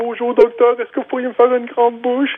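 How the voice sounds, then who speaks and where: At a very fast pace and a fairly high pitch, the speaker performs a put-on character voice. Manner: comical, speaking as if with a small mouth.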